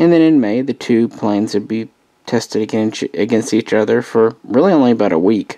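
A man's pitch varies in an ordinary way, and the background around him stays quiet. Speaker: hobbyist model reviewer. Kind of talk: casual review commentary. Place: home room. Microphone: phone near.

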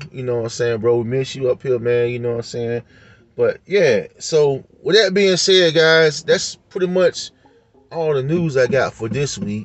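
A man's voice comes through dry with no echo while faint music plays in the background. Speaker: collectibles vlogger. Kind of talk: casual vlog chat. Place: car. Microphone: phone near.

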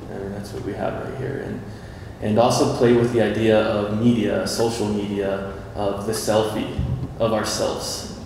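At a moderate pace, someone with an American accent speaks with big swings in loudness, strong room echo and light background noise. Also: man, fairly low pitch for a man, fairly even intonation. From USA. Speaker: artist; panel artist. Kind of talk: artist talk at a panel. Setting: stage with audience. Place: hall.

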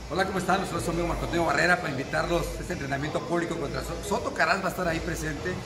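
Loud background noise runs under this recording. Over it, a man talks at a very fast pace. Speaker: boxing trainer promoting event. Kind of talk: promotional announcement. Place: gym. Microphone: phone near.

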